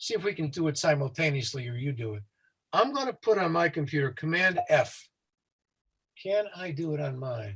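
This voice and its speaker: Very wide pitch swings and big swings in loudness in an American accent, with long, frequent pauses. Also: man. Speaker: safety consultant. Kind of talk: tutorial. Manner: fast.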